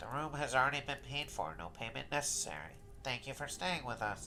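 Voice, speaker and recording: A man's put-on character voice, medium in pitch and fairly quick, with clear background noise. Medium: read story. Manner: polite, formal.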